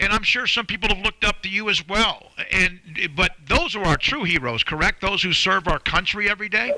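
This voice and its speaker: A man's high-pitched, raised, projected voice at a fairly quick pace, with ordinary pitch variation and noticeable background noise. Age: 60s. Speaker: sports radio host. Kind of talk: radio interview.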